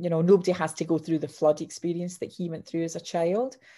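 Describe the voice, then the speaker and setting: A woman with a Scottish accent and a dark, mellow tone is heard on a very clean recording with a silent background. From Scotland, Clydebank. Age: 50s. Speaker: author and sales coach. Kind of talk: interview. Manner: animated.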